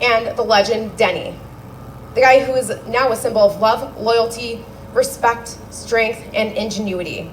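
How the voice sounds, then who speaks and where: Over noticeable background noise, a woman talks at a moderate pace in a fairly high pitch with ordinary pitch variation. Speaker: eulogist, daughter of the deceased. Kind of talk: memorial speech; casual remarks to gathering. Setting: memorial gathering with microphone. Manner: loud.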